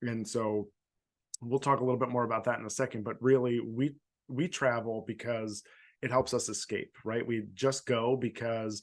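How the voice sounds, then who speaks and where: A man with an American accent speaks at a moderate pace and medium pitch, his intonation fairly even, against a quiet background. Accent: Philadelphia accent, somewhat reduced. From Philadelphia suburbs. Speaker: podcast host, former elementary teacher. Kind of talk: casual chat. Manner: halting, many repeats and fillers.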